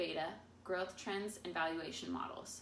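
Over light background noise, a woman speaks at a moderate pace with audible room echo. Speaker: presenter. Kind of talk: class presentation. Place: meeting room. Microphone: camera far.

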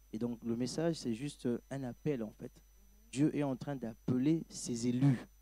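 A man's medium-pitched voice, dark and mellow in tone, at a fairly slow pace with fairly even intonation and a dry sound with no echo. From DR Congo. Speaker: pastor. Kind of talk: panel discussion. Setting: studio. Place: stage. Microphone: handheld.

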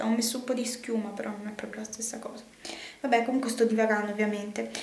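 Audible room echo follows a woman speaking at a fairly quick pace. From Sicily. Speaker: fashion and beauty vlogger; beauty vlogger. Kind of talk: casual vlog. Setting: bathroom at home. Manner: chatty, hesitant. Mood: cheerful, chatty. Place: bathroom. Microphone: phone near.

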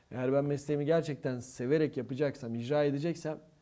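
This man has a dark, mellow tone and fairly high pitch. His pitch varies in an ordinary way at a moderate pace. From southeastern Turkey. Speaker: theatre instructor and actor; actor interview guest. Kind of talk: casual interview. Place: studio. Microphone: lapel.

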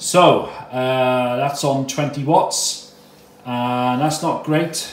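A man speaks with fairly even intonation, and audible room echo follows his words. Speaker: radio hobbyist. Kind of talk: tutorial. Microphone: phone near.

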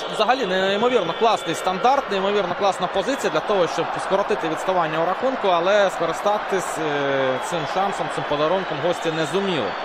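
Over noticeable background noise, a man with a high pitch talks at a fairly quick pace in an animated tone. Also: ordinary pitch variation. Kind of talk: sports match highlights commentary. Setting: voiceover over match footage. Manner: brisk, animated play-by-play narration.

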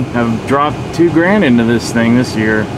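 Over noticeable background noise, a man at medium pitch speaks with lively intonation in a dry sound with no echo. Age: 50s. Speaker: vlogger and musician; vlogger. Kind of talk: casual video diary. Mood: relaxed storytelling, mild complaint. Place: car. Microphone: phone near.

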